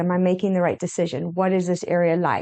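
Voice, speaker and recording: Medium pitch in a woman's speaking voice. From Zimbabwe. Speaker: real estate agent and podcast co-host. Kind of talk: casual podcast chat.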